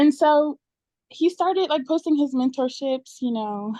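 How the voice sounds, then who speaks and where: A woman's dark, mellow voice in a dry, close sound with no echo. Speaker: trading mentee. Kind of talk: testimony. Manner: fast.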